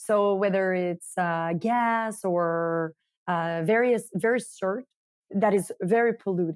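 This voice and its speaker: Speaking very slowly with a French-Canadian accent, a woman uses a medium pitch and ordinary pitch variation in a dry, close sound with no echo. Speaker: marketing director of a coffee company. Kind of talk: interview.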